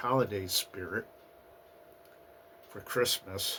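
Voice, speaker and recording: A man talks at a very slow pace. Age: 50s. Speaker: vlogger. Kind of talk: casual vlog monologue. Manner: hesitant, many fillers.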